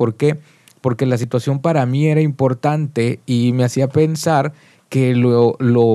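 A man at a medium pitch and moderate pace, with ordinary pitch variation and an unremarkable speaking voice. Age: 40s. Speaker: musician. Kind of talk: casual chat. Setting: studio.

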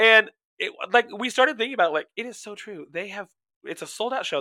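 Raising and projecting his voice, a man speaks at a fairly quick pace with a bright, sharp, animated tone and lively intonation. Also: dry, close sound with no echo. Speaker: podcast co-host. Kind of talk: casual chat.

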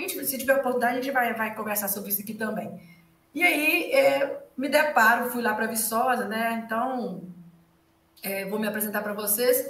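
Fairly high female speech with noticeable background noise and audible room echo. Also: ordinary pitch variation, moderate pace. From rural Minas Gerais, Brazil. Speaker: economics professor. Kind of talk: casual interview chat. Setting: livestream video recording.

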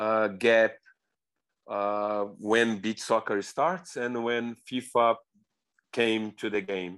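Against a quiet background, a man with a Brazilian accent speaks at a very slow pace. His pitch is medium, with ordinary variation. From Brazil, Rio de Janeiro. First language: Portuguese. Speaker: beach soccer coach. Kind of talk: interview. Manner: repetitive, non-native phrasing.

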